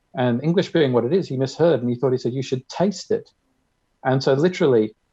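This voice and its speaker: The speaker has an Australian accent and a very fast pace. Pitch variation is ordinary. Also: man. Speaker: conference speaker. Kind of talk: short presentation.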